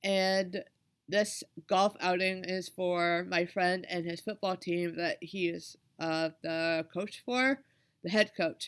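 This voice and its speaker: A woman speaks at a very slow pace in a medium pitch with fairly even intonation. The recording is very clean with a silent background. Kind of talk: personal vlog talk. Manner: hesitant, with fillers.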